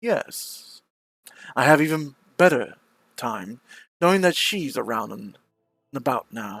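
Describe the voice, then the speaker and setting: A man's put-on character voice, fairly high-pitched and fairly slow, with long, frequent pauses, in a very clean recording with a silent background. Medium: virtual streamer. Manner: gloating.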